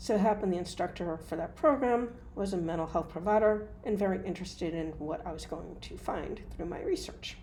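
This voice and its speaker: A woman with an American accent talks at a fairly quick pace. Her loudness swings widely, and room echo is audible. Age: 60s. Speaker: hypnotist and mental health provider. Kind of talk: opinion monologue.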